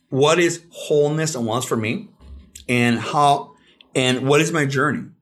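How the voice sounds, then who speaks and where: With music in the background, a man with a fairly high voice speaks fairly slowly with ordinary pitch variation. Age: 40s. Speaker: psychologist. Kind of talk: casual chat. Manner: halting.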